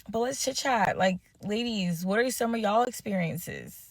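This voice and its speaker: A woman speaks in a normal speaking voice. Her pitch varies in an ordinary way. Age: 20s. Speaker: social media creator. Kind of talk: casual social media video.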